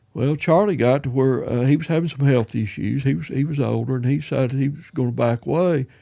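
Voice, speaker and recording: This man talks at a very fast pace with hardly any pauses, using a Southern US accent, a medium pitch, ordinary pitch variation and a dark, mellow tone. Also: very clean recording, silent background. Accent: Southern American. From East Tennessee. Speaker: retired musician and school principal. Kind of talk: interview answer. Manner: casual, rambling.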